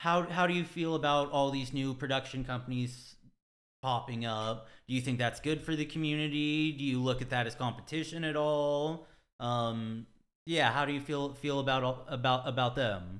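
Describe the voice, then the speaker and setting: An ordinary speaking voice with an American accent, at a moderate pace with fairly even intonation. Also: man, medium pitch for a man. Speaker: podcast host. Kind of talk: casual interview.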